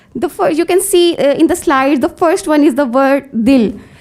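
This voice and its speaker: A woman with a Pakistani accent, high pitch, lively intonation and a very slow pace. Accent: Pakistani English (Punjabi). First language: Punjabi. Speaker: conference presenter, researcher. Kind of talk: academic paper presentation. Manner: halting, many fillers.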